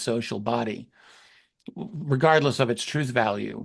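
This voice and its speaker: Against a quiet background, a man talks at a fairly slow pace. He has a plain, everyday voice, medium pitch and ordinary pitch variation. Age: 60s. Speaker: UFO researcher and historian. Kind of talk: interview conversation.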